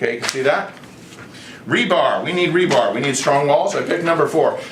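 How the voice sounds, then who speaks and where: A man with an American accent talks at a fairly quick pace with ordinary pitch variation, amid noticeable background noise and audible room echo. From United States. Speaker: online video creator pitching a proposal. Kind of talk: explanatory presentation. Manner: casual, halting with self-corrections.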